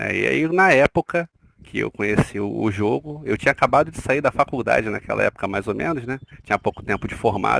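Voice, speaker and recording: A man speaks at a fairly quick pace and medium pitch, with vocal fry, very wide pitch swings, and a dry, close sound with no echo. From Rio de Janeiro, Brazil. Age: 40s. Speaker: nurse, interview guest. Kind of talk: podcast interview. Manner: hesitant, with fillers.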